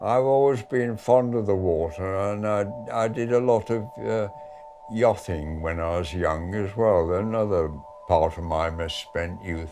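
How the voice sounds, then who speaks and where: Over music in the background, a man with a fairly low pitch speaks at a fairly slow pace with ordinary pitch variation. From Manchester, England. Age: 80s+. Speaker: war veteran. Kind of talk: interview answer.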